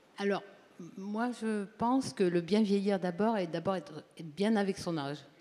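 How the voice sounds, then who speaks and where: At a moderate pace, a woman with an ordinary speaking voice keeps a medium pitch with ordinary variation while her loudness swings widely. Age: 60s. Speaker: audience member at a health talk. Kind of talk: audience testimony at a public conference.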